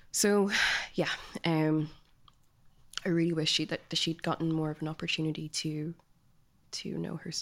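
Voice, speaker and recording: Over a silent background in a very clean recording, a woman with a fairly low pitch speaks at a fairly quick pace in a monotone, flat intonation. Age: 20s. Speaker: author. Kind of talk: casual chat.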